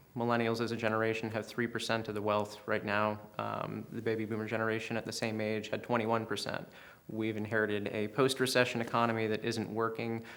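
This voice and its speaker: A man speaks very fast with an American accent at a medium pitch. His intonation stays monotone and flat. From US South, western North Carolina mountains. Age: 30s. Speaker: political candidate. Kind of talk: interview. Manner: hesitant, many um fillers.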